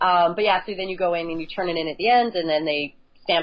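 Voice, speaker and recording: This woman has a Canadian accent and a fairly low pitch. She talks at a very fast pace with ordinary pitch variation. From Canada, northern Alberta. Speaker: ultra obstacle course racer. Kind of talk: casual interview.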